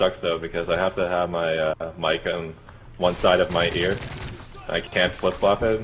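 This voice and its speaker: A man speaks at a moderate pace in a very deep, low voice, with noticeable background noise behind him. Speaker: gaming friend of the host. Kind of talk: casual chat while gaming. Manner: animated.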